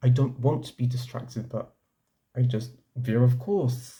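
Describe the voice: A man at medium pitch speaks fairly slowly in a dark, mellow tone. His intonation is fairly even, and the room echo is audible.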